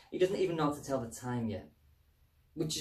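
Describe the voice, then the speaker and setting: Against a quiet background with audible room echo, a man speaks with lively intonation. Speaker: comedic presenter. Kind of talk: mock public information film voiceover.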